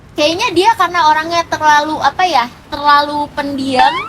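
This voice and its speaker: Shrill, high-pitched woman's voice against noticeable background noise. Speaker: live-stream seller. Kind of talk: casual interview chat. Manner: loud, lively.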